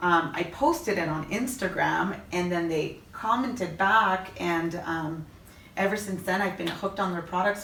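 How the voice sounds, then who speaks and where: Through audible room echo and noticeable background noise, a woman talks at a moderate pace with a fairly low pitch and ordinary pitch variation. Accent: Canadian. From Canada. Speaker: Instagram influencer and mother. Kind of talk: interview. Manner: loud; chatty.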